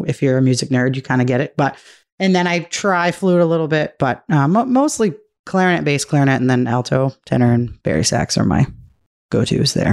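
A woman with an American accent speaks at a fairly quick pace in a very deep, low voice. Her intonation is lively, while her loudness stays very even. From Massachusetts (Milford). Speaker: music teacher and pit musician. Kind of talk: casual chat.

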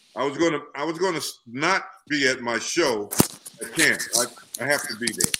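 A man's fairly high voice with an American accent, ordinary pitch variation and a moderate pace, over noticeable background noise. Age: 70s. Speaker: music event promoter. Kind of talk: casual chat. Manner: animated.

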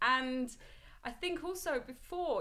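A bright, sharp voice goes at a moderate pace with audible room echo. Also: woman. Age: 30s. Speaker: business founder and fitness coach. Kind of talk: casual interview.

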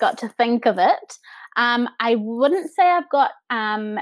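Speaking at a very slow pace, a woman with a New Zealand accent comes through on a very clean recording with a silent background. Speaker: podcast guest, set and projection designer.

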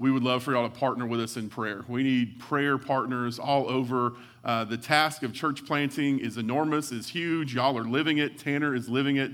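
In a West Texas accent, a man speaks with fairly even intonation. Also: medium pitch for a man. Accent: West Texas drawl. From West Texas (Hawley, near Abilene). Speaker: pastor, church planter. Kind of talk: sermon.

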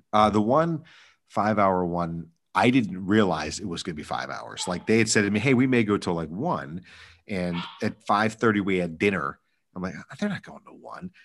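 A man with a normal speaking voice talks at a moderate pace, fairly low in pitch, with lively intonation and big swings in loudness. The recording is very clean, with a silent background. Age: 30s. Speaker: wedding DJ. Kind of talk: casual chat.

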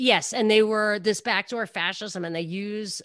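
In an American accent, a woman speaks at a moderate pace with ordinary pitch variation on a very clean recording with a silent background. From New York. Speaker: radio talk show host. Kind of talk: casual interview chat.

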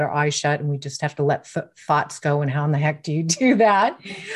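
A woman speaks very fast in a somewhat breathy voice, her pitch varying in an ordinary way. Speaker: neurocoach and mindfulness trainer. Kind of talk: interview answers explaining brain science.

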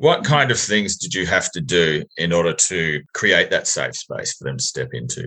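A man with an Australian accent at a moderate pace, hardly any pauses, and big swings in loudness. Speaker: podcast host. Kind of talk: interview, casual.

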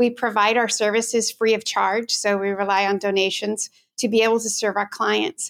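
A woman with an American accent speaks in a fairly high, monotone, flat voice at a moderate pace. The sound is dry and close with no echo, in a very clean recording with a silent background. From Washington State, US. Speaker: lawyer, head of a legal advocacy organization. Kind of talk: interview.

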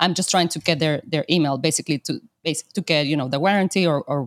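A woman with a Spanish accent talks at a very fast pace in a very deep, low voice. The sound is dry and close, with no echo. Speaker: podcast host, Amazon seller. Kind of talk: casual interview chat. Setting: video call.

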